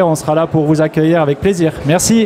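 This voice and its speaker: A man speaks at a moderate pace with a southwestern French accent and fairly even intonation, with noticeable background noise behind him. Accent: southwest French. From southwest France. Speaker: software company founder receiving award. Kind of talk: award acceptance speech.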